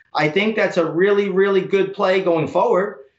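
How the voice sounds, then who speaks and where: The room echo is audible. A man's voice is heard. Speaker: stock trader. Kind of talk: news interview. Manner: repetitive intensifiers, frequent fillers. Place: office. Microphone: webcam.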